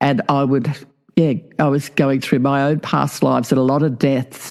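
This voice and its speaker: A woman with an Australian accent at a moderate pace. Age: 70s. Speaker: past life regressionist and author. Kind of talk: interview.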